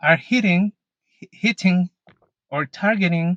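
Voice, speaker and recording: With a Mexican accent, a man speaks at a fairly high pitch in a dry, close sound with no echo. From Mexico. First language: Spanish. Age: 30s. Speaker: YouTuber, Pokemon collector. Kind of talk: casual vlog Q&A. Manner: halting, some self-corrections.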